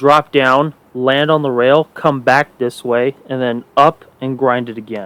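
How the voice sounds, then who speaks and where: A man speaks quietly at a medium pitch and a fairly slow pace, with hardly any pauses. The intonation is fairly even, and the sound is dry and close with no echo. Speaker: gaming youtuber. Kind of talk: gameplay commentary. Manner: monotone.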